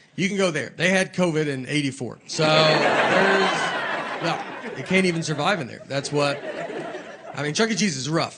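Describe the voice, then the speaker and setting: Noticeable background noise sits behind this man. His voice is fairly high, with ordinary pitch variation. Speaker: stand-up comedian. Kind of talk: stand-up comedy storytelling to a live audience. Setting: live theater with audience.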